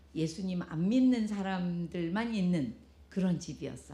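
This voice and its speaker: Somewhat breathy and dark, mellow in tone, a woman's fairly low voice moves at a very slow pace with ordinary pitch variation. Audible room echo surrounds it. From South Korea. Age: 70s. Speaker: pastor's wife giving a testimony. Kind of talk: testimony. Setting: church with congregation.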